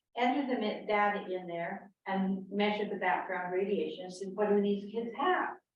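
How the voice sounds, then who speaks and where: Room echo is audible as a woman speaks at medium pitch and a moderate pace. She leaves hardly any pauses, and her intonation stays fairly even. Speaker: panel speaker on health effects of radiation. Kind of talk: public talk. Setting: meeting house with audience. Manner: quiet.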